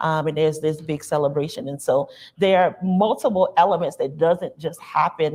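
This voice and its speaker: A woman speaks with an American accent at a fairly low pitch. Her pace is moderate against a quiet background. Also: ordinary pitch variation. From US South, rural South Carolina near North Charleston. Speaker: university diversity administrator, panelist. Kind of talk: panel discussion. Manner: frequent fillers, conversational.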